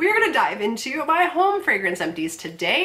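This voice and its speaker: Noticeable noise runs beneath the recording. Over it, a woman speaks very fast. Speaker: YouTuber. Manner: chatty, casual.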